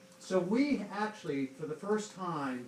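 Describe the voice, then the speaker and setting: There is noticeable background noise as a man talks in a high voice. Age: 50s. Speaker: son of a war veteran. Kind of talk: audience Q&A remarks. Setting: public library talk with audience.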